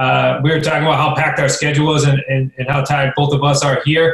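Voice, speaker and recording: In a New England accent, a man rattles off words at a very fast pace with a fairly high pitch and monotone, flat intonation. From central Massachusetts, Worcester. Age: 20s. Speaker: real estate investor. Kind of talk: interview.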